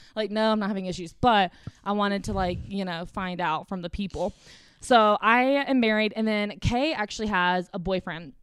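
An American accent marks this woman's medium-pitched voice, with ordinary pitch variation at a moderate pace. The recording is very clean with a silent background. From South Carolina. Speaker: podcast co-host. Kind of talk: casual chat. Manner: animated.

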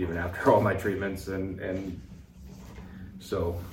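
A man with a very deep, low pitch talks in a monotone, flat intonation over noticeable background noise. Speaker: veteran and speaker. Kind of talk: interview conversation.

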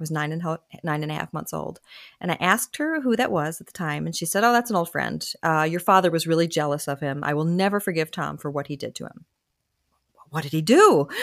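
The recording is very clean, with a silent background. A woman with a fairly low voice speaks at a very fast pace. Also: ordinary pitch variation. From Delaware. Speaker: memoir author and former musical theater actress. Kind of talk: interview.

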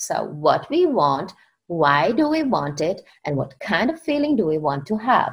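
A woman speaks with a Czech accent. Her pace is fairly slow. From Czech Republic. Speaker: author and success coach. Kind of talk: interview conversation.

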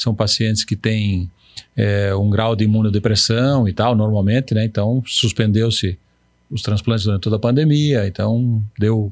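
Here is a plain, everyday voice. Its loudness stays very even, and its intonation fairly even. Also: man, fairly low pitch for a man, moderate pace. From Paraná, southern Brazil. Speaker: urologist. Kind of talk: interview. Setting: studio.

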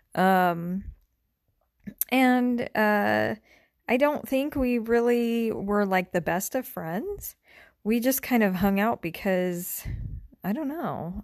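A woman speaks with an American accent, her pitch varying in an ordinary way. The recording is very clean, with a silent background. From California, then Arizona from age 14. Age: 30s. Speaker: podcast host. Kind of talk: solo podcast monologue. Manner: hesitant, many fillers.

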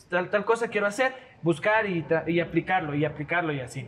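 Fairly quick speech from a man with a high pitch and ordinary pitch variation, over noticeable background noise. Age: 20s. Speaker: video content creator. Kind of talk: casual chat.

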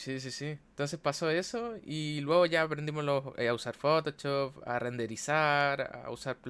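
With a Chilean accent, a man speaks fairly slowly at a fairly high pitch, with ordinary pitch variation. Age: 20s. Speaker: architect and streamer. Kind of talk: casual chat.

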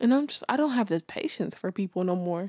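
In a very clean recording with a silent background and a dry, close sound with no echo, the speaker talks at a fairly quick pace in a dark, mellow tone with very wide pitch swings. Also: woman. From South Central Los Angeles, California. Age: 20s. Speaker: podcast host and multimedia artist. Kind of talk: casual monologue. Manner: casual, laughing often.

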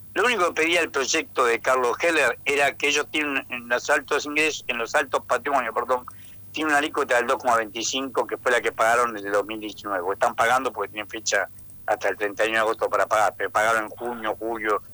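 A man talks at a fairly quick pace in a medium pitch with ordinary pitch variation. His tone is bright and sharp, and the sound is dry and close with no echo. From Argentina, Tucumán. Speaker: economist, university professor. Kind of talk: radio interview.

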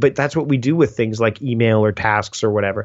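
A man speaks with a Canadian accent at a medium pitch. His pitch varies in an ordinary way, and it is an ordinary speaking voice. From Canada. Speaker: productivity writer and speaker. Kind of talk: casual interview chat.

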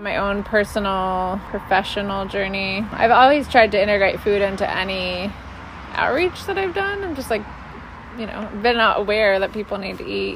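Over noticeable background noise, a woman with an American accent talks with big swings in loudness. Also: medium pitch for a woman, moderate pace. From Minneapolis, Minnesota. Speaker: food policy council director. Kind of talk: casual interview. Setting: outdoors.

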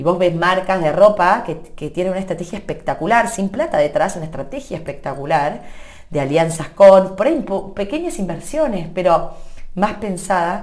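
A woman with a medium pitch speaks at a moderate pace in an animated tone with lively intonation, and audible room echo surrounds her. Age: 30s. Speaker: social media content creator. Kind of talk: interview.

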